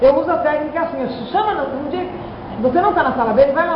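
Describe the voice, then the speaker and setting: A woman's high-pitched voice at a very fast pace, with audible room echo and noticeable background noise. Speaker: teacher. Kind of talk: staff meeting discussion. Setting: school planning meeting.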